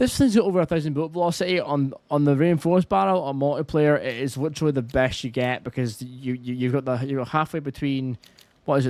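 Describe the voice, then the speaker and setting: Talking very fast in a Scottish accent, a man holds a fairly high pitch with ordinary pitch variation. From Scotland. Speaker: gaming YouTuber. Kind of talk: gameplay tutorial commentary. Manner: casual.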